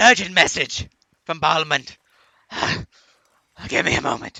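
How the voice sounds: A man speaks in a put-on character voice at a high pitch. His pace is moderate.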